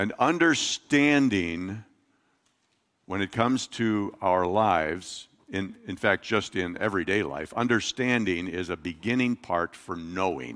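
This man has a plain, everyday voice. He speaks at a fairly slow pace. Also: fairly low pitch for a man, lively intonation. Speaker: pastor. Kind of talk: sermon. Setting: church.

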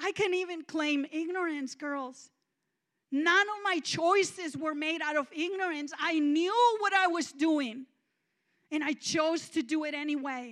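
A woman with a Mexican accent at an extremely high pitch and fairly slow pace, with ordinary pitch variation. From Mexico, small town. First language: Spanish. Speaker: guest preacher. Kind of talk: sermon. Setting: church.

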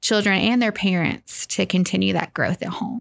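A woman with a Southern US accent speaks at a moderate pace in a very clean recording with a silent background. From US South, Arkansas (North Little Rock). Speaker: preschool minister. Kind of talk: casual chat. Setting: studio.

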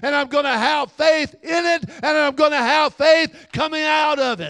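A man with a Southern US accent speaks at an extremely high pitch in a bright, sharp tone. His pace is fairly slow and his intonation fairly even. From Alabama area (Little River). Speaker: pastor. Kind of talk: sermon.

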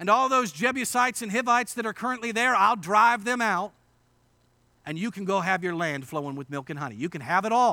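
Loud and projected, a man with an American accent speaks at a fairly quick pace in a high, bright, sharp voice with lively intonation. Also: very clean recording, silent background. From western Pennsylvania, Indiana PA. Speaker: pastor. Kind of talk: sermon. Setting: church.

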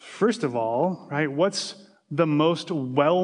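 At a very slow pace, a man speaks at a fairly high pitch with ordinary pitch variation. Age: 40s. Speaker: pastor. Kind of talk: sermon. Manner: halting, with many repetitions.

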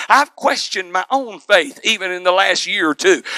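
Noticeable background noise surrounds a man's raised, projected voice. His pitch varies in an ordinary way. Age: 40s. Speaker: preacher. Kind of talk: sermon. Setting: church. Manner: loud.

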